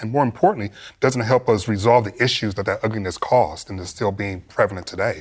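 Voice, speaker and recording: This medium-pitched man sounds somewhat breathy and talks very fast. The recording is very clean, with a silent background. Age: 40s. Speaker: political commentator. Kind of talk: panel discussion.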